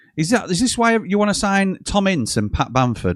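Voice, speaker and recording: Pitched high for a man, a speaker with a South Yorkshire accent uses very wide pitch swings at a moderate pace, in a dry, close sound with no echo on a very clean recording with a silent background. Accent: Yorkshire, Barnsley twang. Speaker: football fan channel host. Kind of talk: live football watchalong chat. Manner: conversational, casual.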